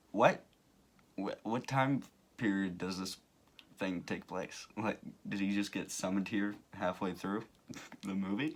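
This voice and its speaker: A man's fairly low voice comes at a fairly slow pace, with fairly even intonation and long, frequent pauses. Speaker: commentary youtuber. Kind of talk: casual video commentary. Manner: hesitant, many fillers.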